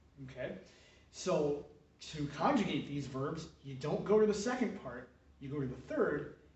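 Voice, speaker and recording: Audible room echo surrounds a man who speaks at a fairly high pitch and a fairly slow pace. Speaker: Latin teacher. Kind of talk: tutorial. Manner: hesitant, many fillers.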